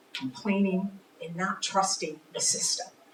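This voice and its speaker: A woman speaks at a moderate pace in a medium pitch. Noticeable background noise runs underneath. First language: Spanish. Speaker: political candidate. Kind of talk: candidate forum answer.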